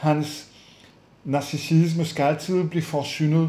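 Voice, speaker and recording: In a French accent, a man speaks with fairly even intonation and a fairly high pitch for a man, with audible room echo around him. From France. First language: French (speaking Danish). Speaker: psychologist. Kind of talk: webinar lecture. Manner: hesitant with many fillers.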